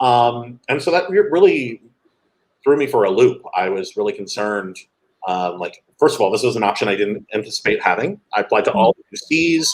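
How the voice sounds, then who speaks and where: A West Coast accent at a fairly quick pace. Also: man. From Los Angeles, California. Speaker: education nonprofit director. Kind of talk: interview conversation. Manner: casual, filler-heavy.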